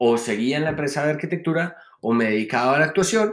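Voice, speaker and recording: Heard on a very clean recording with a silent background, a man talks at a moderate pace in a plain, everyday voice with ordinary pitch variation. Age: 30s. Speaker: actor and industrial designer. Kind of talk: interview.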